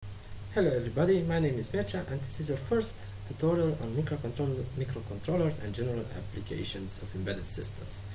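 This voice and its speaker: A man talks at a very fast pace with hardly any pauses and lively intonation, with audible room echo and noticeable background noise. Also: medium pitch for a man. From Romania. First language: Romanian. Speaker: tutorial maker. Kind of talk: tutorial. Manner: halting.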